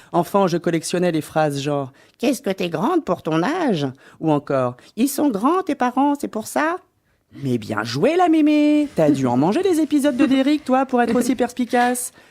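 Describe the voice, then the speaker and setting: The speaker goes at a fairly slow pace with hardly any pauses, in a very clean recording with a silent background. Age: adult, mother. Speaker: radio comedy columnist. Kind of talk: comic radio column.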